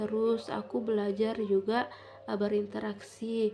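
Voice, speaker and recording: A woman with a fairly high voice talks at a moderate rate. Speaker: vlogger. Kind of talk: casual vlog chat. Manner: halting.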